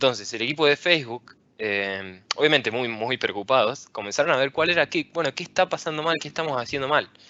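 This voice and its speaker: Speaking in an Argentine accent, a man with a fairly high pitch moves at a fairly quick pace with hardly any pauses and lively intonation. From Argentina, Rosario. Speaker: software engineer and tech speaker. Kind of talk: conference talk.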